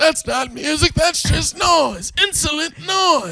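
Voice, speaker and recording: A put-on character voice from a man, delivered at a fairly slow pace. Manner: grumpy, disapproving.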